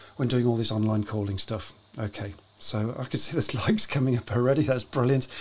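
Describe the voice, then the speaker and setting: Speaking at a moderate pace, a man talks in a British accent. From UK. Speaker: live show host. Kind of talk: casual interview. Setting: live stream. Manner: chatty. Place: home room.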